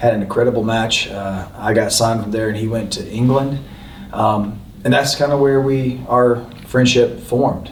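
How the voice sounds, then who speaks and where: A man with a Southern US accent speaks at a moderate pace, medium in pitch with fairly even intonation. Noticeable background noise and audible room echo fill the recording. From North Carolina. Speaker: professional wrestler. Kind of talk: casual chat. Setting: live podcast taping on location.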